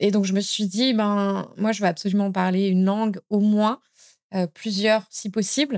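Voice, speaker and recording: In an unremarkable speaking voice, a woman at medium pitch talks at a fairly slow pace with fairly even intonation, captured dry and close with no echo on a very clean recording with a silent background. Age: 30s. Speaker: language school founder and author. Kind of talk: podcast interview.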